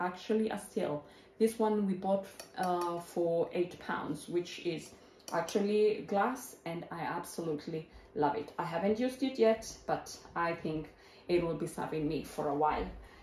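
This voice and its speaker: Audible room echo surrounds a woman's fairly low voice. She speaks at a fairly slow pace with ordinary pitch variation. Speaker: home vlogger. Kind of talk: casual product show-and-tell. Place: kitchen.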